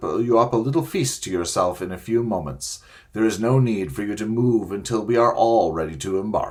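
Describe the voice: Plain reading aloud, its pitch moving in a usual way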